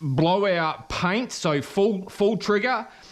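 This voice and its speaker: This man has a high pitch and lively intonation. He speaks with an Australian accent. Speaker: car painter. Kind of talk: tutorial. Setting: spray booth at workshop. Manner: halting.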